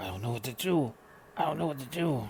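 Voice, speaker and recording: A man uses a put-on character voice that is raspy, set at a medium pitch and delivered at a very fast pace. Clear background noise is audible behind him. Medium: read story.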